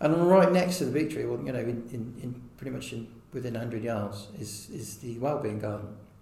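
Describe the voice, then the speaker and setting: Over noticeable background noise and audible room echo, a man of medium pitch speaks at a moderate pace with lively intonation and hardly any pauses. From Herefordshire, England. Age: 40s. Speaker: wildlife trust volunteer. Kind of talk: interview. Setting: outdoors. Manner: halting.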